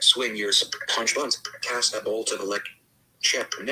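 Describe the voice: Plain reading aloud with ordinary pitch variation comes through here.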